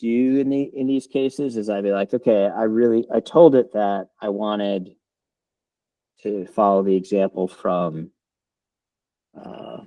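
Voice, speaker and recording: A man with a fairly low pitch talks at a moderate pace with ordinary pitch variation and long, frequent pauses. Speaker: software developer. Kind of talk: live software demo. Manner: halting, many fillers and repeats.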